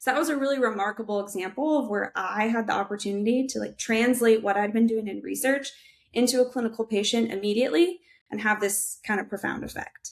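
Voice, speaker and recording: A woman with an American accent talks at a very fast pace. Her pitch is fairly high. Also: ordinary pitch variation. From Minnesota, US Midwest. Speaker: audiologist and researcher. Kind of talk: podcast interview.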